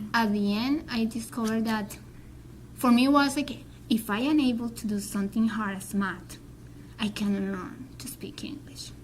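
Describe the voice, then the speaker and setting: With ordinary pitch variation, a woman's fairly high voice carries audible room echo. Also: moderate pace. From Colombia. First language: Spanish. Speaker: Spanish teacher and graduate student. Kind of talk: interview. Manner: halting.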